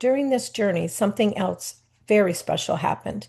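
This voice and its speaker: Against a quiet background, a dark, mellow tone with vocal fry moves at a moderate pace. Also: woman. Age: 60s. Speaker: wellness coach and travel advisor. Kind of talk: scripted narration.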